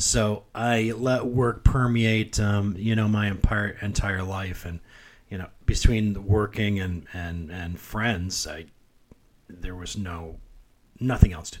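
A fairly low-pitched man's voice at a very slow pace, with fairly even intonation and big swings in loudness. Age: 50s. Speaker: podcast co-host, healthcare technology worker. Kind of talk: casual chat.

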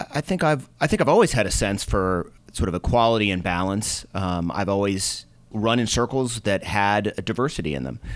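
With a plain, everyday voice, a man speaks fairly quickly at a fairly low pitch with lively intonation. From US Northeast, Boston. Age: middle-aged. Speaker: venture capitalist. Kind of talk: interview.

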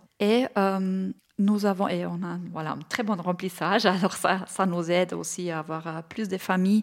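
A woman with a German accent at a medium pitch, fairly slow and fairly even in intonation, on a very clean recording with a silent background. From Bavaria, Germany. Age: 40s. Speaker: entrepreneur, childcare company founder. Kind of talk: interview. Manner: hesitant, with fillers.

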